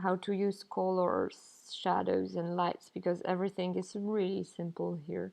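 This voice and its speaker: A woman speaks at a fairly slow pace with a non-native accent. She hardly pauses at all. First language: not English. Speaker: pixel artist and game developer. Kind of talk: tutorial.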